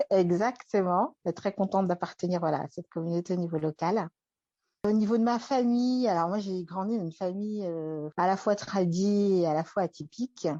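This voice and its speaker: A woman's medium-pitched voice with a dark, mellow tone and ordinary pitch variation, at a moderate pace, in a dry, close sound with no echo and a quiet background. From France. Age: 30s. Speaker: interview guest. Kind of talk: personal testimony. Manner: hesitant, many fillers.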